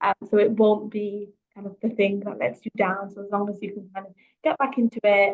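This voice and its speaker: A woman speaks at a fairly quick pace and a medium pitch, with fairly even intonation. Her loudness swings widely, and the sound is dry and close with no echo. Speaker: careers coach. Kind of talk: webinar talk. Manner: fast.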